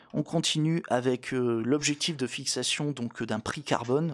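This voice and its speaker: A man at a very slow pace, in a very clean recording with a silent background. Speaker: law explainer youtuber. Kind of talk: educational vlog. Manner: many hesitations (euh); casual, conversational.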